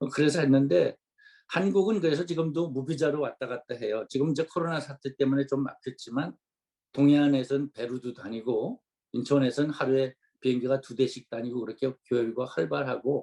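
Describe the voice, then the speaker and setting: A man's fairly high-pitched voice with a dark, mellow tone at a moderate pace, in a dry, close sound with no echo. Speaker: retired senior missionary. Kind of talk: church seminar interview.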